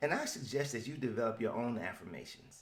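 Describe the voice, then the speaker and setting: The speaker is a man with an American accent. He talks at a fairly quick pace. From US South. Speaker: motivational podcaster. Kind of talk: motivational podcast monologue.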